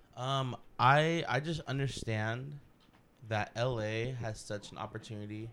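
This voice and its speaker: Using an ordinary speaking voice, a man talks at a fairly slow pace, at medium pitch with ordinary pitch variation. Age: 20s. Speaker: barista and YouTuber. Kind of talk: casual chat. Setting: studio.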